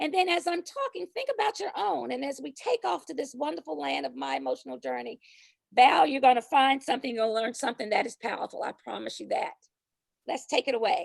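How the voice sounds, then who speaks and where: A woman talks at a fairly quick pace, her voice dry and close with no echo. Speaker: workshop presenter. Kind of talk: virtual workshop presentation. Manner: fast.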